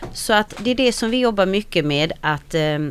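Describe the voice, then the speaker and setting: With lively intonation, a woman at medium pitch talks fairly slowly. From Sweden, arrived from Slovakia at six. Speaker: Roma women's organization founder. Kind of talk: radio interview. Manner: hesitant, many fillers.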